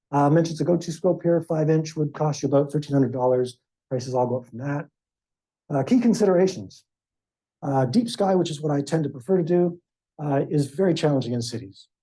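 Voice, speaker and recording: This man's voice sits fairly high and is somewhat breathy. He talks at a fairly quick pace with ordinary pitch variation. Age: 60s. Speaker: amateur astronomer. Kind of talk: club presentation.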